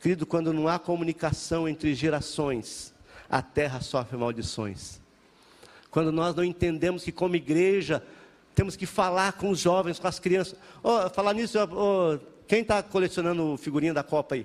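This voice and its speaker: A man with a high pitch and ordinary pitch variation keeps to a moderate pace. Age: 50s. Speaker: pastor. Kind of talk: sermon.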